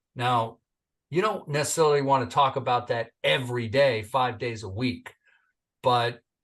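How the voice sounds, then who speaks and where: A man with an American accent and an animated tone, at a moderate pace against a quiet background. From Northern California. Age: 60s. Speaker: entrepreneur and military veteran. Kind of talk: interview podcast.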